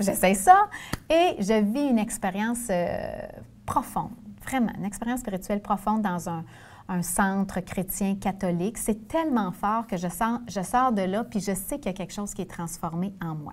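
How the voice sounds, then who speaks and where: Someone with a Quebec accent speaks at a moderate pace, somewhat breathy, with ordinary pitch variation on a very clean recording with a silent background. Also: woman, medium pitch for a woman. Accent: Québécois French. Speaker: former nun turned sales director. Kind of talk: interview.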